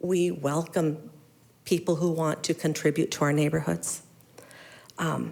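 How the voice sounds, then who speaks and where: In an American accent, a woman speaks at a very deep, low pitch with vocal fry and a monotone, flat intonation. She goes at a fairly slow pace with long, frequent pauses, on a very clean recording with a silent background. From Mesa, Arizona. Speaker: resident speaking at public comment. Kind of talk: public comment at council meeting. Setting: city council chamber. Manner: halting.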